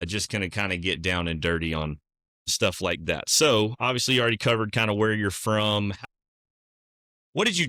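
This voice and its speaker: With a bright, sharp tone and ordinary pitch variation, a man talks at a fairly quick pace in a fairly low pitch, in a very clean recording with a silent background. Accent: Southern US. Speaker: podcast host, realtor. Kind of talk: casual interview chat.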